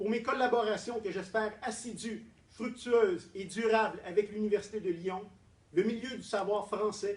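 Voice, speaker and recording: A man speaks in a strong Quebec accent with a high pitch. His pace is fairly slow and his intonation fairly even. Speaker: doctoral prize winner, political scientist. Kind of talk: formal acceptance speech. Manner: formal.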